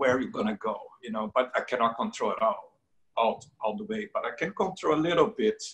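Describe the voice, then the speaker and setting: A man with a Brazilian Portuguese accent speaks at a fairly high pitch in a bright, sharp tone. His pitch swings very widely over a quiet background. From Brazil, Rio de Janeiro. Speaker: painter. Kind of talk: interview. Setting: video call. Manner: halting. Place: home room. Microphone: video call.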